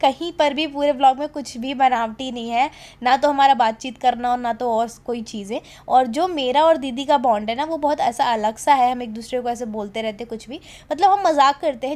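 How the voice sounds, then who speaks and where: At a moderate pace, a woman with a high pitch and ordinary pitch variation speaks with big swings in loudness. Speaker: vlogger. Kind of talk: voice-over narration.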